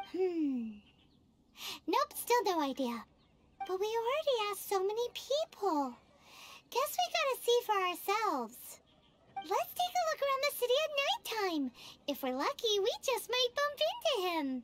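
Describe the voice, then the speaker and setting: A put-on character voice at an extremely high pitch, with very wide pitch swings, a moderate pace and long, frequent pauses. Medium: video game. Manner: excitable, bubbly.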